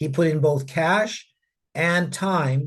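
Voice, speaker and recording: Somewhat breathy and fairly high, this man's voice holds a fairly even intonation. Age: 60s. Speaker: mining company executive. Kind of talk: interview. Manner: repeats words, halting restarts.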